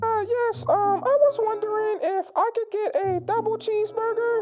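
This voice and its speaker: Putting on a squeaky character voice at an extremely high pitch, a woman keeps a moderate pace and fairly even intonation. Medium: solo performance. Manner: hesitant, halting with ums.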